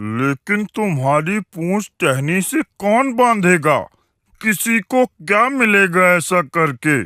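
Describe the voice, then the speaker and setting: Putting on a cartoonish character voice, a man speaks at a high pitch and a very slow pace. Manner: authoritative.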